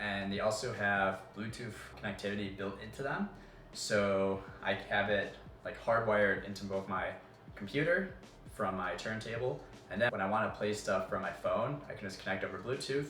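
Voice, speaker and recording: Over faint background music and audible room echo, a man talks at a moderate pace in a fairly low voice with ordinary pitch variation. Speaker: college student YouTuber. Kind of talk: casual desk tour; casual vlog chat. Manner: relaxed, casual with fillers. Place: home room.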